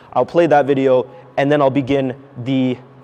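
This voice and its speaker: Over noticeable background noise, a man speaks at medium pitch in a monotone, flat intonation. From Canada, Toronto. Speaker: company CEO, speaker at engineering college. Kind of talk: talk to students. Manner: fast.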